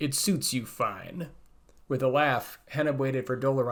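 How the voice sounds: Fairly even intonation in a natural reading voice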